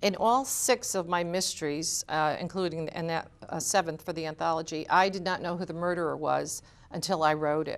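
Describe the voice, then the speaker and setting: Speaking at a fairly quick pace, a woman with an American accent keeps a fairly low pitch and fairly even intonation. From Connecticut, US. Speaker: mystery novelist. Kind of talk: interview. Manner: fast.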